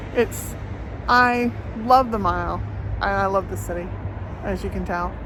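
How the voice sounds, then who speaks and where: A woman speaks at a very slow pace, with audible room echo and noticeable background noise. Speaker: travel vlogger. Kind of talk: walking travel vlog. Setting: outdoors. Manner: casual, hesitant with fillers.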